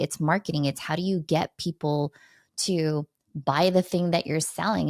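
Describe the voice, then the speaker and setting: In a very clean recording with a silent background, a woman speaks in an energetic tone with a dry, close sound and no echo. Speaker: communication coach and keynote speaker. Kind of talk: podcast interview. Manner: fast.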